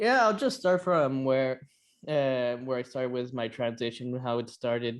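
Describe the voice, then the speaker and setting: Speaking with an American accent, a man uses a plain, everyday voice at medium pitch. His pace is moderate and his pitch variation ordinary. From California. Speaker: detransitioner. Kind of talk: interview.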